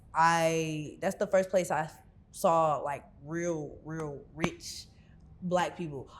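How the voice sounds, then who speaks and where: A woman speaks in a fairly low voice with flat, monotone intonation. Her pace is very slow. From Houston area, Texas (Missouri City). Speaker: rapper and singer. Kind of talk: interview. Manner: casual, filler-heavy.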